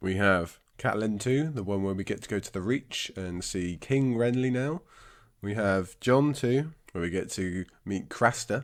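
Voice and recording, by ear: In a very clean recording with a silent background, a man with a raspy, fairly low voice speaks at a fairly slow pace with ordinary pitch variation.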